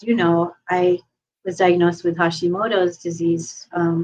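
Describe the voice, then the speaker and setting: The woman's voice sits at a fairly low pitch. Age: 60s. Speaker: podcast host and sound therapist. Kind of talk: casual chat.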